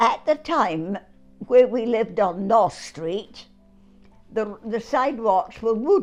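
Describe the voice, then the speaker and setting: Music plays in the background as a woman speaks at a very slow pace in a fairly high voice with lively intonation. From Scotland. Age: 80s+. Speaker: war bride. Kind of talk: interview answer.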